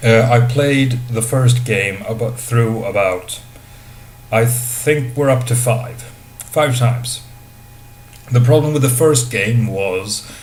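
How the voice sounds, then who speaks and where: Amid noticeable background noise and audible room echo, a man with a non-native accent and medium pitch speaks at a very slow pace. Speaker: video game reviewer. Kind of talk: video game review. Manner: hesitant, many fillers.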